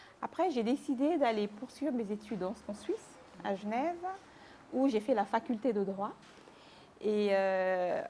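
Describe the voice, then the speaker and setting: This woman talks at a fairly slow pace, her fairly high pitch moving with ordinary variation. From Cameroon (Mbalmayo, Yaoundé). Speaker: lawyer, publisher and author. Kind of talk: interview.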